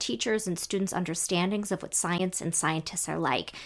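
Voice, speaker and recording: A woman with a plain, everyday voice at a medium pitch, ordinary pitch variation and a moderate pace, in a very clean recording with a silent background. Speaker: education professor and co-host. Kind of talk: casual conversation.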